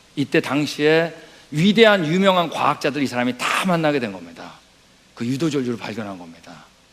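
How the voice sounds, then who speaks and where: Noticeable background noise sits behind a man's fairly high voice. He talks at a fairly quick pace with lively intonation. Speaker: missionary lecturer. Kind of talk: lecture. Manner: fast.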